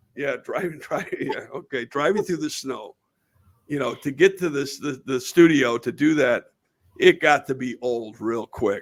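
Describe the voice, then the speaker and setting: A man with a northern US accent speaks at a moderate pace in a fairly high pitch with ordinary pitch variation, on a very clean recording with a silent background. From western New York. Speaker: podcast host. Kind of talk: casual interview chat.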